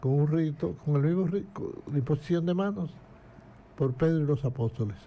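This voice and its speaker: A man talks at a moderate tempo in a fairly high voice that is somewhat breathy, with a dark, mellow tone and ordinary pitch variation. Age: 80s+. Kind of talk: casual interview.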